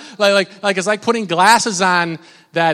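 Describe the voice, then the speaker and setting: His accent is American. The man's pitch moves up and down in an ordinary way. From Minnesota. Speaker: pastor. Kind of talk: sermon. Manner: animated.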